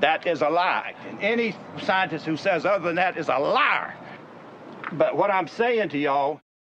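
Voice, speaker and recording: Lively intonation marks a man's high voice, delivered with a Southern US accent. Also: moderate pace. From US South (Mississippi). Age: 70s. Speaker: inventor. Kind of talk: product demonstration. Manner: forceful.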